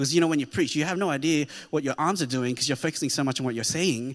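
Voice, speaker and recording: At a very fast pace and with lively intonation, the speaker talks with an Australian accent in a very clean recording with a silent background. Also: man. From Australia (Sydney), child of immigrants. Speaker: pastor. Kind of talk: sermon. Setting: church.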